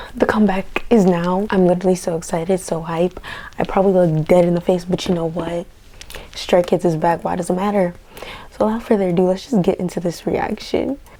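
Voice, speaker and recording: A woman speaks at a fairly quick pace and a medium pitch, her intonation fairly even, over noticeable background noise. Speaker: YouTube reactor. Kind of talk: video reaction. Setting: at home at night.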